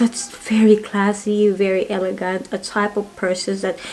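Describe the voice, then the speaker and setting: Noticeable background noise runs under this recording. A woman speaks at a medium pitch and a moderate pace. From Philippines. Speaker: perfume reviewer. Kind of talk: casual product review vlog. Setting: home. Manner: halting.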